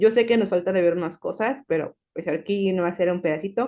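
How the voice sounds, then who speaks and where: With ordinary pitch variation at a medium pitch, a woman talks against a quiet background. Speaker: pharmacology researcher giving a talk. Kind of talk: online talk, closing remarks. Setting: video call. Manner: fast.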